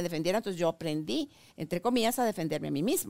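Pitch swings very widely throughout. The recording is very clean with a silent background, and the sound is dry and close with no echo. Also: woman. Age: 60s. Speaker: talk show host. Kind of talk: interview. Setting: studio.

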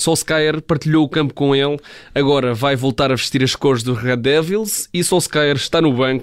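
This man has a normal speaking voice with a fairly high pitch. He talks at a moderate pace with fairly even intonation. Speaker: sports journalist. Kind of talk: radio sports segment.

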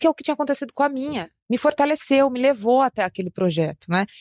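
A woman at a very fast pace, lively in intonation, in a dry, close sound with no echo. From Brazil, São Paulo city. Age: 30s. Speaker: musician and social entrepreneur. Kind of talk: interview conversation.

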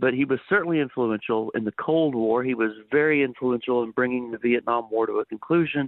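Talking fairly quickly with hardly any pauses, a man with an American accent has an ordinary speaking voice at a medium pitch with ordinary pitch variation. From Texas (Dallas area). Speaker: history professor. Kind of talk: radio interview. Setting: phone call.

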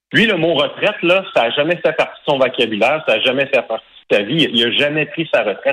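A man speaks in a Quebec accent at a fairly quick clip. His loudness stays very even throughout. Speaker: hockey play-by-play announcer. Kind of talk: testimony.

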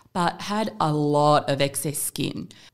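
In an Australian accent, a woman speaks. Her intonation is lively. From Perth, Western Australia. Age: 40s. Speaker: plastic surgery clinic manager. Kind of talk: casual interview chat. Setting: podcast studio.

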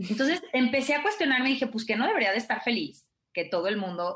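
A woman talks fairly quickly, her intonation lively. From Mexico (provincial). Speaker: life coach / happiness student. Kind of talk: radio interview.

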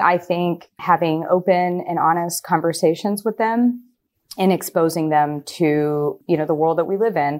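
On a very clean recording with a silent background, a woman with a General American accent and a fairly low pitch speaks at a moderate pace with ordinary pitch variation. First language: Gujarati. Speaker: attorney. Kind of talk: interview.

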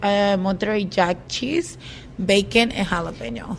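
Against noticeable background noise, a woman speaks very slowly at a medium pitch.

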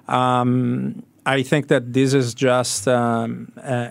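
With an Italian accent, the speaker delivers everything in a monotone, flat intonation. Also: man. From Italy. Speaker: sports media executive. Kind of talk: radio interview. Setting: radio studio. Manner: halting, many fillers.

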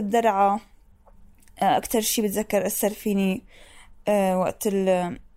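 Very slowly, a woman speaks in a dark, mellow tone with a fairly high pitch. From Syria. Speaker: former detainee. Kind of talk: testimony. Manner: laughs to hold back pain.

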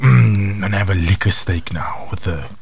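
Put-on character voice from a man, very deep and low-pitched, over clear background noise. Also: moderate pace. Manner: bravado, drawn-out and exaggerated.

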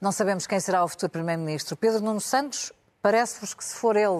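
Over a quiet background, a woman uses a normal speaking voice at medium pitch with ordinary pitch variation. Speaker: radio news podcast host. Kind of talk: moderated news panel discussion.

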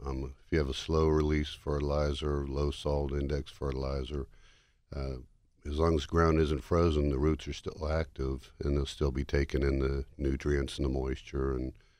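Against a quiet background, a man with an American accent speaks at a moderate pace. His very deep, low pitch stays monotone and flat. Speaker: tree care expert. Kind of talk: radio interview.

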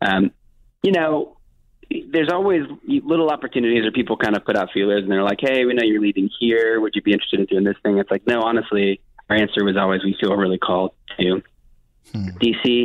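With an American accent, a man talks at a very fast pace in a fairly low pitch. His loudness stays very even. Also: ordinary pitch variation. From US, Miami. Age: 20s. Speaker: worship pastor and artist. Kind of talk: interview conversation.

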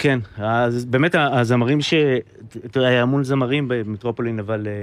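The man's pitch is medium and varies in an ordinary way. He talks at a fairly slow pace. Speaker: musician and band leader. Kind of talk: casual chat.

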